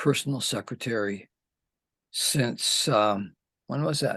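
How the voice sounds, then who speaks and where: A man talks at a very slow pace with vocal fry. His intonation is fairly even. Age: 70s. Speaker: poet. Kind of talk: interview conversation. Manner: halting, many fillers.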